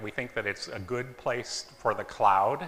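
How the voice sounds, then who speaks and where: A man at a moderate pace, with audible room echo. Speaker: engineer and startup co-founder presenting. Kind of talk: conference talk. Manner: loud.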